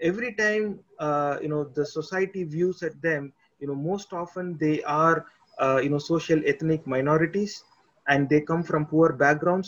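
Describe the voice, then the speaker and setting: This man has a Tamil accent and a fairly high pitch. He speaks at a moderate pace with ordinary pitch variation. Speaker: podcast host. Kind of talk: interview. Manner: halting.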